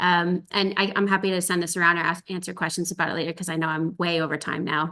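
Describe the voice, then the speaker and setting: The speaker is a woman at a medium pitch. Her tone sounds bright and sharp. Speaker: ocean expedition scientist presenter. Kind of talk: webinar presentation. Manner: fast; hesitant fillers.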